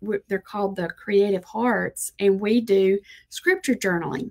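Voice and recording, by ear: The tone is slightly mellow. Intonation stays fairly even. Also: woman.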